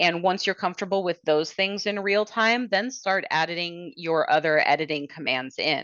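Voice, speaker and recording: In an ordinary speaking voice, a woman speaks at medium pitch and a moderate pace with ordinary pitch variation. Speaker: software product demonstrator. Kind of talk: product demo webinar. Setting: webinar.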